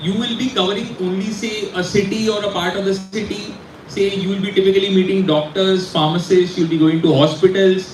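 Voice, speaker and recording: With noticeable background noise behind him, a man speaks at a fairly quick pace in a high pitch. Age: 40s. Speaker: pharma industry speaker. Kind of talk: guest talk to students. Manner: animated.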